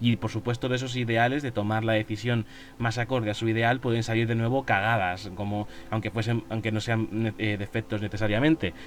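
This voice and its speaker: With music in the background, a man speaks fairly quickly at a medium pitch. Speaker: podcast host on fantasy worldbuilding. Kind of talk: casual solo podcast monologue. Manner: halting, some stammering.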